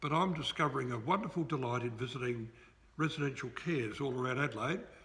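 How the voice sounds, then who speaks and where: Audible room echo surrounds a man speaking at a fairly quick pace. His medium pitch shows ordinary pitch variation. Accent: Australian. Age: 70s. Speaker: retired pastor. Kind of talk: interview. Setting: church.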